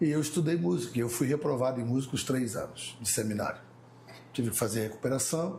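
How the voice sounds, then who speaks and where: Amid audible room echo, a man talks very fast at medium pitch with ordinary pitch variation. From Mauá, São Paulo, Brazil. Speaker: pastor. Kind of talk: casual chat.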